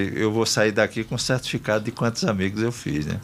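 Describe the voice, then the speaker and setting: Music runs behind the speech. The man's voice sits at a medium pitch. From Brazil, Rio Grande do Norte (Northeast). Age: 60s. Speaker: politician. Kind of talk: radio interview. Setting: radio studio.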